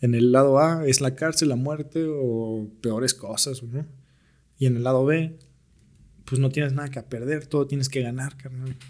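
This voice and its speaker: Here is an unremarkable speaking voice: a man at medium pitch talking at a fairly slow pace with fairly even intonation. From Mexico, Naucalpan (State of Mexico). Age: 20s. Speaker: aspiring musician. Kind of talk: casual chat.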